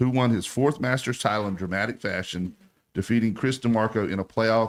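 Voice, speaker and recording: The speaker has a Southern US accent. The pace is fairly quick. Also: man. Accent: Southern American. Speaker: sports radio host. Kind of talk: radio talk show. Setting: radio studio. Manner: fast; animated.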